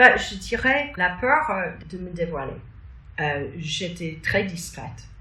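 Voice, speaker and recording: A woman with an American accent speaks at medium pitch with lively intonation. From New York, USA. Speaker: spiritual teacher, author. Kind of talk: interview answer. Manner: hesitant, many fillers.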